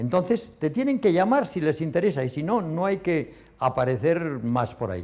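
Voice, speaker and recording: A man's high voice swings very widely in pitch, captured in a very clean recording with a silent background. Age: 70s. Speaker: retired company founder. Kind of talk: interview.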